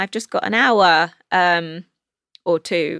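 A woman with a London accent has a bright, sharp tone, recorded with a dry, close sound and no echo. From England. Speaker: actress. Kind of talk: casual chat. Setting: studio.

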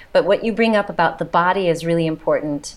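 A woman with an American accent speaks at a fairly quick pace. She has an ordinary speaking voice and fairly even intonation. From United States. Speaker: physician and trauma therapist. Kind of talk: casual chat.

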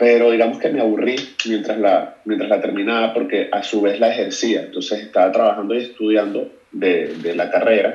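A man speaks at a fairly quick pace amid noticeable background noise and audible room echo. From Venezuela, Caracas. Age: 30s. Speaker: photographer. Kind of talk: casual chat.

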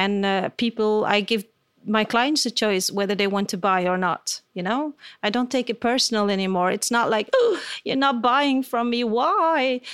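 At a moderate pace, a woman with a fairly high voice speaks with ordinary pitch variation in a dry, close recording with no echo. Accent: Dutch. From Belgium. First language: Dutch. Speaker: portrait photographer. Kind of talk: interview. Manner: halting.

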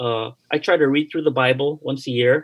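At a moderate pace and medium pitch, a man speaks with a Hawaiian accent. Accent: American English, Hawaii. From Hawaii, after Japan and Toronto. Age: 50s. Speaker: pastor. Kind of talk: interview.

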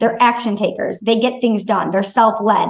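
A woman with an American accent speaks in a fairly high, somewhat breathy voice. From Michigan, US Midwest. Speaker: sales coach. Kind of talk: casual interview chat.

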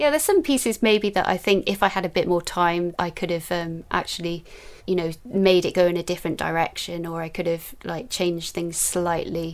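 A woman with a Welsh accent, fairly low pitch, ordinary pitch variation and a fairly quick pace. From Newport, South Wales. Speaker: illustrator and YouTuber. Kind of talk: casual interview chat.

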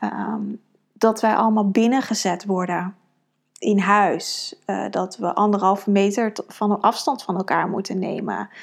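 Her intonation fairly even, a woman speaks fairly slowly at a medium pitch. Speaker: podcast host and women's coach. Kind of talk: solo podcast monologue. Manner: many fillers and hesitations.

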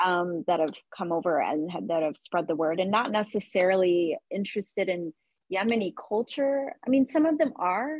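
Woman's voice, an unremarkable speaking voice at medium pitch with lively intonation. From Texas (Dallas), born in Yemen. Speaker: small business founder. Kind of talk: interview conversation.

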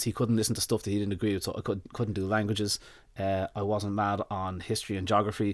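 On a very clean recording with a silent background, a man speaks with an Irish accent. His pace is fairly quick. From Ireland. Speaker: dog nutritionist. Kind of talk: casual interview. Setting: studio.

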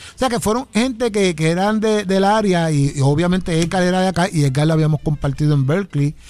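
A man with a high voice talks at a very fast pace, barely pausing. His loudness stays very even, with ordinary pitch variation. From Puerto Rico, Ponce. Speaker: trumpeter and arranger. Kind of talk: radio interview. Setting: radio studio.

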